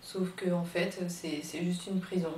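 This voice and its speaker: A woman speaks at a fairly low pitch with fairly even intonation. Noticeable background noise is present. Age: 20s. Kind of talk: personal testimony to camera. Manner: hesitant, emotional.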